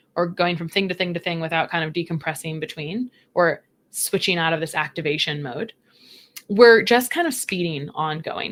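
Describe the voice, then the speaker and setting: On a very clean recording with a silent background, the speaker talks at a fairly quick pace. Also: woman. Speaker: registered dietitian. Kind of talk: podcast interview. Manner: fast; animated.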